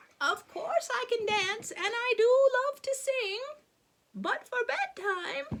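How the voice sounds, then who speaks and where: A female-sounding voice uses a squeaky, extremely high pitch in a put-on character voice. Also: fairly slow pace. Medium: read story. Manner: gentle, assured.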